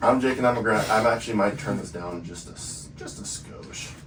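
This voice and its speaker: With music in the background and audible room echo, a man speaks at a moderate pace in a fairly low pitch with lively intonation. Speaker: podcast host. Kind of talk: casual chat. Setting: studio. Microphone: poor audio.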